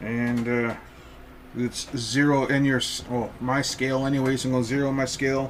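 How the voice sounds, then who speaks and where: A man with a medium pitch and a relaxed tone speaks at a moderate pace in a monotone, flat intonation. His loudness stays very even, and audible room echo surrounds him. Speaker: hunter and home cook. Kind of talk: casual cooking tutorial. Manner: relaxed, hesitant with many fillers.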